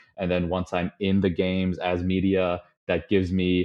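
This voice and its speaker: A man with a Chicago accent speaks in a very deep, low pitch. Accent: Chicago-area American. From US Midwest, Chicago suburbs. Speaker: podcast guest, data analyst. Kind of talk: casual interview chat. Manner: many filler words (um, uh).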